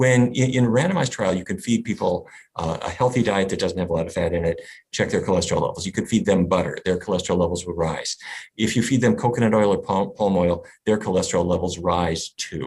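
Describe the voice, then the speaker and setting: Against a quiet background, a man with an American accent talks very fast in a fairly low, somewhat breathy voice with ordinary pitch variation. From US, North Dakota. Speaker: physician and nutrition researcher. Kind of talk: interview.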